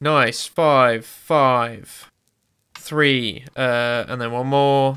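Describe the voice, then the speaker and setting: A man with a British accent, medium pitch, fairly even intonation and a very slow pace. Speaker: player in tabletop role-playing game, co-host. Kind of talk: casual chat and roleplaying. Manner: casual, joking.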